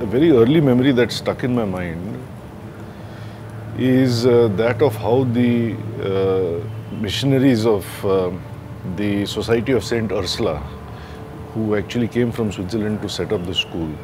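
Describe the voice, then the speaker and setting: Music plays in the background as a man speaks at a moderate pace with ordinary pitch variation. He takes long, frequent pauses. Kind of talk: interview answer. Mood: calm, reflective. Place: garden.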